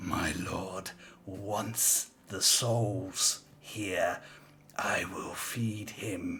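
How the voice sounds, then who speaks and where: A man whispers in a put-on character voice, hissing. He goes at a very slow pace. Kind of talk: archaic, servile. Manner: hissing, menacing.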